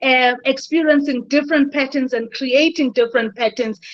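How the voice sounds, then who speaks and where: At a fairly slow pace, a woman speaks with a high pitch and fairly even intonation. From South Africa. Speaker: leadership consultant and business coach. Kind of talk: webinar talk. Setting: video call. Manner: halting, repeats words.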